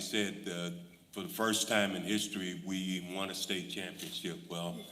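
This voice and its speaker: A man with an American accent talks at a very slow pace in a fairly low pitch. Room echo is audible around his voice. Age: 60s. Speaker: school board member. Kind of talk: board meeting remarks. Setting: school board meeting. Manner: halting, many fillers.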